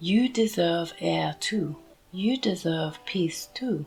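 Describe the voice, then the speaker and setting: With music in the background, a woman speaks at a very slow pace. Her voice is fairly low, in a Southern US accent. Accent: Southern American. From Southern United States. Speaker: faith podcast host. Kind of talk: inspirational podcast monologue.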